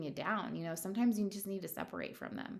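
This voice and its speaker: A woman mumbles at a fairly quick pace. Her pitch sits at a medium level. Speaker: manifestation coach, YouTuber. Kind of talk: casual monologue to camera. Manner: halting, many fillers; mumbling.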